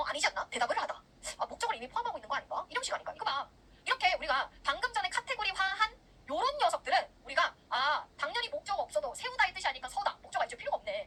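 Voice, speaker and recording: A woman speaks in a raised, projected voice at an extremely high pitch with very wide pitch swings. Her tone is bright and sharp, and her pace is very fast. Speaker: English grammar lecturer. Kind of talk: recorded online lecture. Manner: clear diction.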